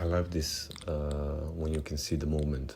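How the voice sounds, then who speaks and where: The speaker has a non-native accent and talks at a very slow pace with ordinary pitch variation. There is noticeable background noise. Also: man. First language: not English. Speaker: watch-building YouTuber. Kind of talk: tutorial. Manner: casual, slightly halting.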